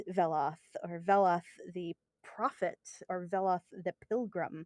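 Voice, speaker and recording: In a dark, mellow tone, a woman with an American accent speaks at a very slow pace, with a dry, close sound and no echo. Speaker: video game lore expert. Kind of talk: casual chat. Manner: frequent fillers and hesitations.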